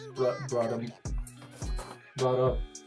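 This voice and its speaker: Music runs underneath. Over it comes a man's voice at a medium pitch. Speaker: amateur filmmaker. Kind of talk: casual explanation to camera.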